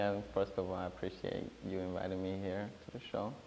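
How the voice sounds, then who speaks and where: In a strong East African accent, the speaker goes at a fairly quick pace amid noticeable background noise and audible room echo. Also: man. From Rwanda, Burundian family. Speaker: talk show guest. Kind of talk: interview.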